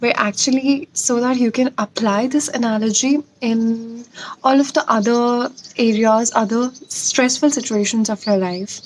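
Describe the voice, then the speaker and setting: Her pitch high and its variation ordinary, a woman talks at a moderate pace. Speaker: motivational YouTuber. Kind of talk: personal story vlog.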